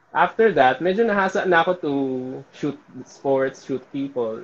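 Using an ordinary speaking voice, a man talks with lively intonation in a fairly high register. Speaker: events and sports photographer. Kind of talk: casual interview.

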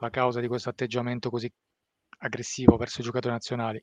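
The sound is dry and close with no echo, over a quiet background. A man talks at a medium pitch. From Italy, Abruzzo and Apulia. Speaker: football and Iran commentator. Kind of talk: live-streamed discussion.

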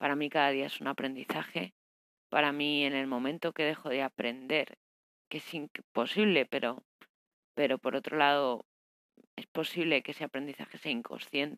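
In a dry, close sound with no echo, a woman speaks with a very deep, low pitch. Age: 30s. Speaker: life coach podcaster. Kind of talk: personal diary monologue. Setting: alone at home. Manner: halting, many fillers.

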